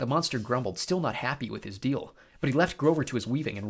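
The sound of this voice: The reading voice is unforced, with lively intonation.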